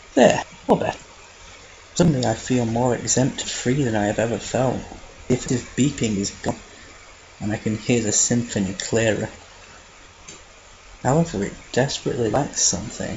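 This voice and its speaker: A man speaks at a moderate pace in a medium pitch, with long, frequent pauses. Noticeable background noise can be heard. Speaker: fan fiction reader. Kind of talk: read story narration. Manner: flat, subdued.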